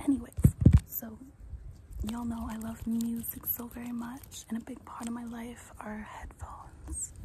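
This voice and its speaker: Over loud background noise, a soft-spoken woman talks at a moderate pace. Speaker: ASMR creator. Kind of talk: casual vlog chat. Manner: soft-spoken, intimate close-mic ASMR voice. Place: garden. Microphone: phone near.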